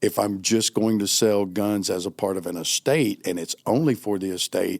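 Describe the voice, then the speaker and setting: Ordinary pitch variation and a moderate pace in a plain, everyday voice, the recording very clean against a silent background. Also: man, fairly low pitch for a man. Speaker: auctioneer. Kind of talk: interview answer.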